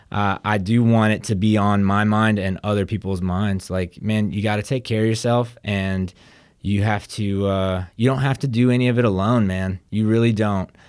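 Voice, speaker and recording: A man with an American accent speaks at a moderate pace in an unremarkable speaking voice, his pitch fairly low and his intonation fairly even, on a very clean recording with a silent background. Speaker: podcast host. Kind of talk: casual podcast chat.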